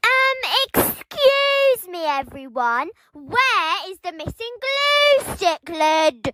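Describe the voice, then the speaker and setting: In a put-on character voice, a woman speaks very slowly at an extremely high pitch, with very wide pitch swings. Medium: solo performance.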